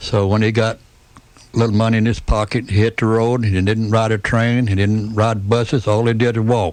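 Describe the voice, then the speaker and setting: A monotone, flat intonation in a Tennessee accent, with very even loudness. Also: man, medium pitch for a man, fairly quick pace. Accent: US Southern (Tennessee). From Tennessee, Chattanooga. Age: 70s. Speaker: retired restaurant owner and civic figure. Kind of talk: radio interview. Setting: studio.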